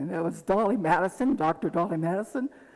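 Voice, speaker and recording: A woman talks at a fairly quick pace. Background noise can be noticed. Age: 80s+. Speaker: pageant judge. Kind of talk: public introduction speech.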